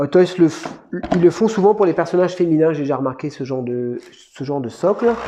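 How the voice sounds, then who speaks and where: A man talks at a fairly quick pace in a high voice, with lively intonation. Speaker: toy collector youtuber. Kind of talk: unboxing review. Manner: fast; casual, hesitant.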